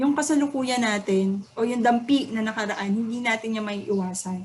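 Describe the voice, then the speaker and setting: This woman's pitch sits fairly high. Her intonation remains fairly even. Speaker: student or teacher giving a poem analysis. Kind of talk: lecture. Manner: halting.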